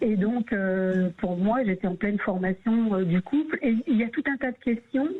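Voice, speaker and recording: Fairly slowly and at a very even loudness, a woman speaks with a fairly high pitch and lively intonation. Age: 60s. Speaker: radio caller sharing her story. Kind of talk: radio call-in testimony. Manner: halting, many hesitations.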